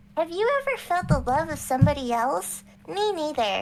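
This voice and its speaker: At a moderate pace, a high-pitched put-on character voice sounds over clear background noise. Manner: deadpan, saying horrible things in a cute voice.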